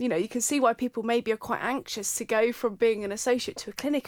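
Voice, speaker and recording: A woman's animated, fairly high voice in a southern English accent, fairly quick, with a dry, close sound and no echo. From Surrey, England. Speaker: osteopath and podcast host. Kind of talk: casual chat.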